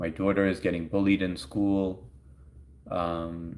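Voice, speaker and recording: A man talks in a New York accent. His voice is very deep and low. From US Northeast, Long Island, New York. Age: 40s. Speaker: live streamer. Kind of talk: casual chat. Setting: live stream.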